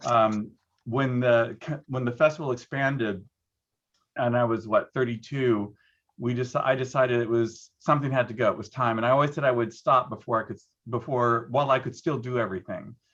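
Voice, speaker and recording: A man talks at a fairly quick pace with an unremarkable speaking voice, medium pitch and fairly even intonation. His loudness swings widely against a quiet background. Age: 60s. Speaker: arts producer and former dancer. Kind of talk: panel discussion.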